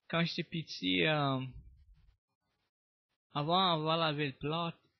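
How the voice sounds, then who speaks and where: A man speaks in a Cajun accent, his pitch rising and falling in an ordinary way. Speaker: storyteller. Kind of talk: interview answer.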